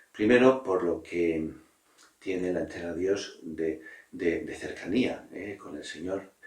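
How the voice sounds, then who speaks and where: A man speaks very slowly in a very deep, low pitch, somewhat breathy. His loudness swings widely. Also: ordinary pitch variation. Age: 60s. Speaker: priest. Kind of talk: interview answers on religious vocation. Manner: halting, with frequent fillers.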